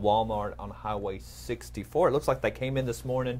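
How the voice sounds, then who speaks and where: The speaker is a man. He has a slight Texas accent. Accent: slight Texas twang. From East Texas. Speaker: news anchor. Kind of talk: casual news chat.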